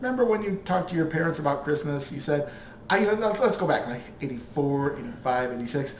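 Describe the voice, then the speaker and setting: A man with an American accent, animated in tone, at a fairly quick pace with very wide pitch swings, amid audible room echo and noticeable background noise. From Michigan, Flint. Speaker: cooking show host. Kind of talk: casual monologue.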